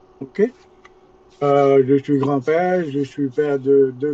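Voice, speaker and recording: This man's voice sits at a fairly high pitch. His intonation is fairly even. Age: 60s. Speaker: network marketing recruiter. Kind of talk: sales pitch. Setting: webinar.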